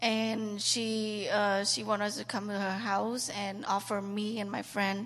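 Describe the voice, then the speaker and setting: Speaking with a Cambodian accent, a woman uses a medium pitch and ordinary pitch variation. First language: Khmer. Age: 20s. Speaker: trafficking survivor. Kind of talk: testimony. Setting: church. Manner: halting.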